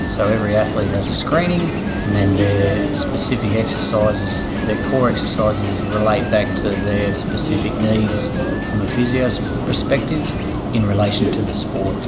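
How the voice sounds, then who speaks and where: A man at a moderate pace, with music in the background. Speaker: conditioning coach. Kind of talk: interview answer. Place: gym. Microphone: lapel.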